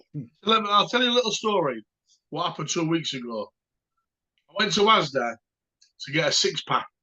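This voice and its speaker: A man with a high, bright, sharp voice speaks fairly quickly, raised and projected, with very wide pitch swings. He leaves long, frequent pauses. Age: 50s. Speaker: dog kennel owner. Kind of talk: casual chat.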